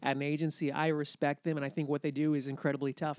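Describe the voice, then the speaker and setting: Very fast speech comes from a man with an American accent. The sound is dry and close with no echo, on a very clean recording with a silent background. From New Hampshire, US (Laconia). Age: 40s. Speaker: comedian and actor. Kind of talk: casual interview chat.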